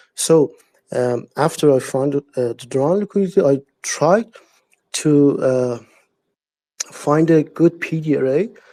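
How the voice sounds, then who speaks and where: A man with a non-native accent speaks slowly in a dark, mellow tone at a fairly high pitch, with ordinary pitch variation. Long, frequent pauses break up his speech, and the sound is dry and close with no echo. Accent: non-native English speaker. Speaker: trader. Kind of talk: live audio chat question. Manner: halting, many hesitations.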